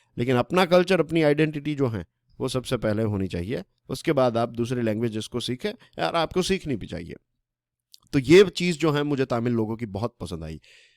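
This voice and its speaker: On a very clean recording with a silent background, a man of medium pitch swings his pitch very widely, the sound dry and close with no echo. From Gujarat, Saurashtra (Kathiawar). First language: Gujarati (speaking Hindi). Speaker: current affairs educator. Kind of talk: lecture. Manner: conversational, Hindi-English code-mixing.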